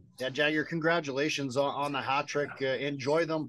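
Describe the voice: The tone is fairly bright and the pace fairly quick. Intonation stays fairly even. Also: man, fairly high pitch for a man.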